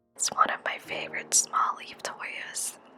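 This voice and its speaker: A woman whispers in a calm tone with music in the background. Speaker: houseplant vlogger. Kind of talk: ASMR plant care vlog narration. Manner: whispered; calm, soft-spoken.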